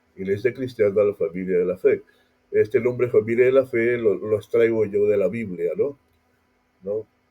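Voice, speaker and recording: At a moderate pace, a man talks in a medium pitch. His intonation is fairly even. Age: 60s. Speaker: pastor. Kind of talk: casual talk. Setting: audio podcast. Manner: halting.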